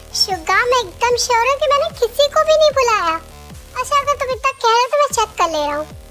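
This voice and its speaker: Over clear background music, a woman rattles along at a very fast pace in a put-on character voice. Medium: read story. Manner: calm, straightforward.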